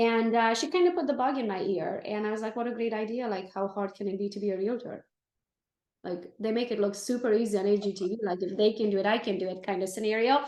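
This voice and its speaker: A woman speaks with a Romanian accent. Her fairly high voice moves at a very fast pace. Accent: Romanian accent, noticeable. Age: 40s. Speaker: real estate team leader. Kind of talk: interview. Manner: animated.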